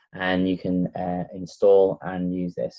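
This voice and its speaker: In a Lancashire accent, a man speaks with a very deep, low pitch and a dark, mellow tone, in a dry, close sound with no echo. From northern England, Blackpool, Lancashire. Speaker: tech reviewer. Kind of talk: tutorial.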